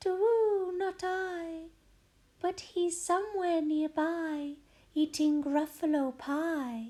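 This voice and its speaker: Using a put-on character voice, a woman speaks at a very slow pace with an extremely high pitch. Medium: read story.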